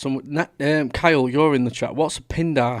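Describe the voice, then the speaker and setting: A man with a Mancunian accent at a fairly quick pace, in a monotone, flat intonation. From Manchester, northern England. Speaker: livestream watch-along host. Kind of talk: casual live commentary.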